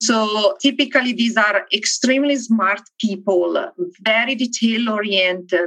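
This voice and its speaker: A woman's bright, sharp voice, fairly high in pitch, lively in intonation, at a fairly slow pace. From Italy (Milan). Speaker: engineering director. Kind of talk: interview.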